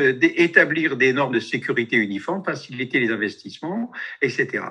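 Against a quiet background, a man with a bright, sharp tone makes very wide pitch swings. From France. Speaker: activist, radiation protection researcher; webinar presenter. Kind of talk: presentation with slides. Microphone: video call.

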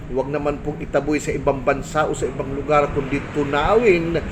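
Clear room reverberation and obvious background noise surround speech whose pitch varies in an ordinary way. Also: man. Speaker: barangay official vlogger. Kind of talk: casual vlog monologue. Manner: hesitant, many fillers.

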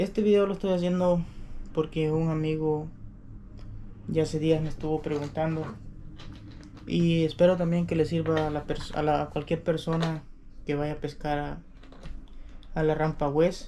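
A man's fairly slow, monotone, flat delivery with long, frequent pauses over light background noise. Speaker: fishing vlogger. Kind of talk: casual vlog chat. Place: home room. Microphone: camera far.

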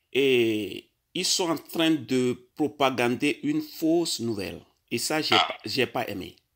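Against a quiet background, a man speaks at a very slow pace. His intonation is lively. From Togo. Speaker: caller. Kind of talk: phone call. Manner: halting.

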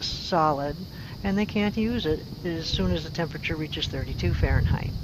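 At a moderate pace, a woman speaks in a fairly low pitch with ordinary pitch variation, in a dry sound with no echo and noticeable background noise. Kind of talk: tutorial. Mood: calm, friendly. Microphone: phone near.

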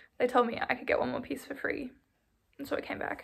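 A woman's high-pitched, animated voice against a quiet background. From Australia. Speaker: knitting vlogger. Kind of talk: casual vlog talk; casual vlog chat. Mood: cheerful, enthusiastic. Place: home room. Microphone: phone near.

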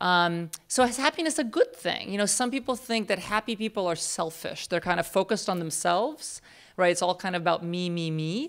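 Against a quiet background, a woman with a Russian accent talks at a fairly quick pace with hardly any pauses and lively intonation. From Russia, moved to US at 10. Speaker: psychology professor. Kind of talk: lecture. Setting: stage with audience. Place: hall. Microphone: podium.

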